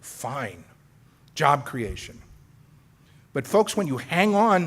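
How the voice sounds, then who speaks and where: Very wide pitch swings and vocal fry in a male voice. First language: Spanish. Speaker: political debater. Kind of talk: formal debate speech. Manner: animated.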